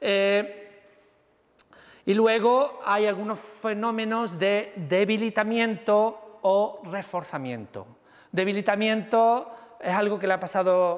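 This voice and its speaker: A man's voice, high in pitch. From Andalusia, Seville. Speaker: university lecturer. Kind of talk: lecture.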